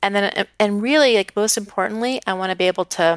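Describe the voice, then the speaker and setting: In an unremarkable speaking voice of fairly high pitch with ordinary pitch variation, a woman is heard on a very clean recording with a silent background and a dry, close sound with no echo. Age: 40s. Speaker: coaching client, former teacher. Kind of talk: coaching session.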